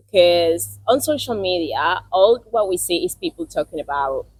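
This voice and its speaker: Here a woman talks in a Spanish accent. She keeps a moderate pace. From South America. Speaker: podcast host, international student. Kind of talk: casual interview.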